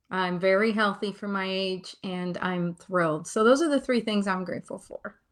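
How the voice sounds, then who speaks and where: This woman has a normal speaking voice, medium in pitch with ordinary pitch variation. She keeps a moderate pace with hardly any pauses. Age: 60s. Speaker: retired financial expert. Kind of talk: interview.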